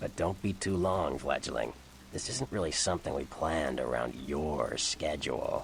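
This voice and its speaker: A man puts on a character voice with a very deep, low pitch. He speaks at a moderate pace over clear background noise. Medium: video game. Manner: teasing, playful.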